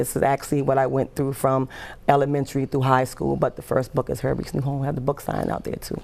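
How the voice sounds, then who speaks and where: Very fast and monotone, a woman with an American accent speaks in a very deep, low pitch with flat intonation and vocal fry. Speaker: nonprofit founder and children's author. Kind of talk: TV interview. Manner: halting, with repetitions.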